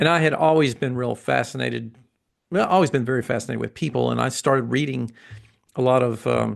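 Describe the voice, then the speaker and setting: A man with a slight Southern US accent talks at a very fast pace. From US South, Atlanta, Georgia. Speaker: massage therapist and educator. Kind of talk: interview.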